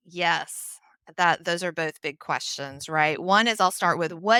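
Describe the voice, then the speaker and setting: With a Southern US accent and a bright, sharp tone, the speaker talks at a moderate pace with ordinary pitch variation in a very clean recording with a silent background. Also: woman. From US South, Nashville, Tennessee. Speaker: HR consultant. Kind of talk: podcast interview.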